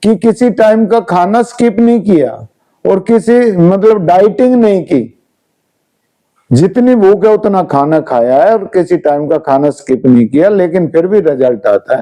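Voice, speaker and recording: A man's high-pitched voice with lively intonation. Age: 60s. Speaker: wellness and health coach. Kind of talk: interview.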